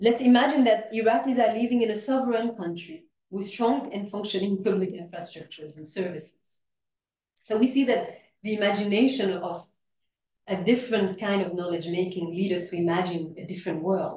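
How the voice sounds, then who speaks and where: A woman speaks at a fairly quick pace in a medium pitch, her somewhat breathy voice carrying a dark, mellow tone and big swings in loudness. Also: ordinary pitch variation. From Iraq, educated in France. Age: young. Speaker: sociology professor. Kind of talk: academic lecture. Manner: formal.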